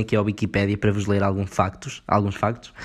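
Recorded very cleanly against a silent background, a man talks at a fairly quick pace with a European Portuguese accent. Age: 20s. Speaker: podcast host. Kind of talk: casual solo commentary.

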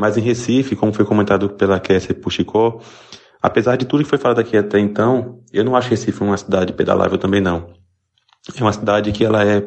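A man with an unremarkable speaking voice talks fairly quickly at a fairly low pitch, his intonation fairly even. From interior of Pernambuco, Brazil. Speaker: listener sending audio message. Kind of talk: voice message.

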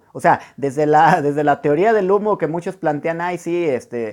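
A man speaks at a fairly quick pace with a fairly high pitch and lively intonation. His tone is animated, and the recording is very clean with a silent background. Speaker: podcast host, personal development coach. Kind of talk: motivational monologue. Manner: fast.

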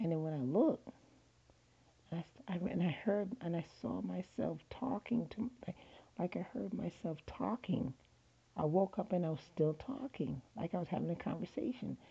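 Her voice dark and mellow with vocal fry, a woman speaks at a moderate pace with very wide pitch swings. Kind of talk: casual monologue. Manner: halting, repetitive.

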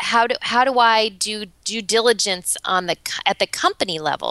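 The recording is dry and close with no echo, carrying a woman's fairly high-pitched voice in a bright, sharp tone. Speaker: business owner and podcast co-host. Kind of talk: casual chat. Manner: cheerful, smiling while talking.

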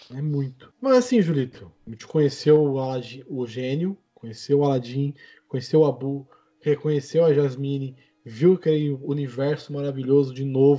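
In a plain, everyday voice, a man with a fairly high pitch talks at a moderate pace with fairly even intonation and big swings in loudness. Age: 20s. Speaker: podcast host. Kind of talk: casual chat.

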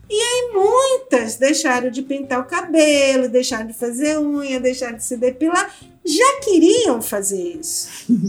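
Over music in the background, a woman speaks in a high pitch with very wide pitch swings and big swings in loudness. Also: fairly slow pace. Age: 60s. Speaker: anthropologist and author. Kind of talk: interview.

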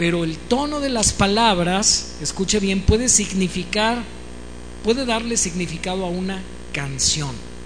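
The speaker uses an animated tone at a fairly slow pace, with noticeable background noise. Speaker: preacher and musician. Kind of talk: sermon.

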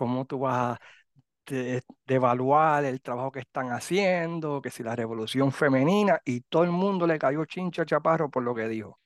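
A normal speaking voice from a man, fairly high in pitch, with ordinary pitch variation at a moderate pace, dry and close with no echo over a quiet background. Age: 50s. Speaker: podcast host. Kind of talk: casual chat.

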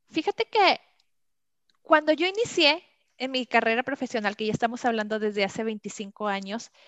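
A woman speaks with a Mexican accent at a fairly high pitch and moderate pace. The sound is dry and close with no echo, over a quiet background. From Mexico. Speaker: customer experience trainer. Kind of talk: interview.

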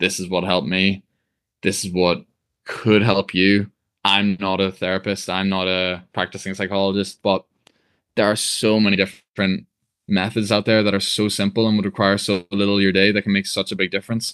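Against a quiet background, a man with fairly low pitch talks at a fairly quick pace in a monotone, flat intonation, and the sound is dry and close with no echo. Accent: Northern Irish. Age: 20s. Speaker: personal trainer. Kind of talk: interview.

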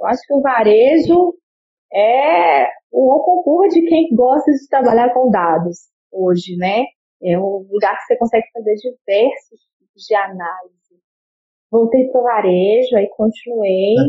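A woman's fairly high, fairly slow voice with very wide pitch swings and big swings in loudness. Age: 30s. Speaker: business intelligence analyst. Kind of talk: interview. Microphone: choppy connection.

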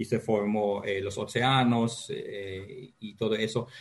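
There is noticeable background noise. Through it, a man speaks. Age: 50s. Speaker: geology professor. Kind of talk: interview. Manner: halting.

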